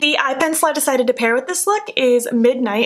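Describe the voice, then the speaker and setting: A woman speaks with a high pitch. Noticeable background noise runs underneath. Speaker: beauty vlogger. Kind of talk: makeup tutorial. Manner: quieter than usual; casual, chatty.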